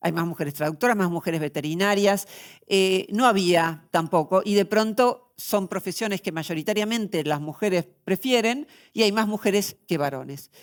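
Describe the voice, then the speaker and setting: A woman at medium pitch and moderate pace, a normal speaking voice with ordinary pitch variation, on a very clean recording with a silent background. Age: 60s. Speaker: philosopher. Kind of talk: interview.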